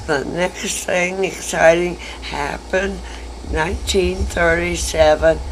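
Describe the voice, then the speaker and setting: With noticeable background noise behind her, a woman with an American accent speaks at a very slow pace. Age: 80s+. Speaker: retired schoolteacher. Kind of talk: interview answer.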